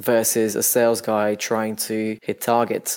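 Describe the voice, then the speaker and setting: This is a man speaking with a Bulgarian accent. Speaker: startup founder. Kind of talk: podcast interview.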